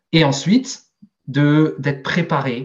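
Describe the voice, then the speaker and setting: Fairly high-pitched, somewhat breathy male voice with fairly even intonation. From Alsace, Strasbourg. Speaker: sales director. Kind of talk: interview. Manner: hesitant, many fillers.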